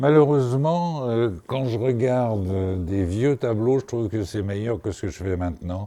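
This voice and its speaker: His intonation sounds lively. The man's voice has a dark, mellow tone. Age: 70s. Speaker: painter. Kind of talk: interview. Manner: halting.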